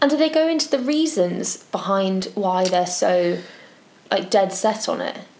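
This woman talks at a fairly slow pace with very wide pitch swings. Background noise is noticeable. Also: medium pitch for a woman. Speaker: podcast co-host. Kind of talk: casual chat.

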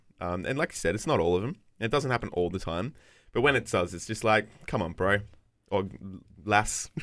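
Here a man with a fairly low pitch speaks at a fairly quick pace with lively intonation. He leaves long, frequent pauses, and the recording is very clean with a silent background. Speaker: podcast co-host. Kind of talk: casual chat.

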